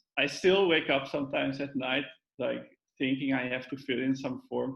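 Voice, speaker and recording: A man's fairly high voice with a Dutch accent and fairly even intonation. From Netherlands. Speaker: data science trainee, physics PhD. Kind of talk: casual interview. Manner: halting.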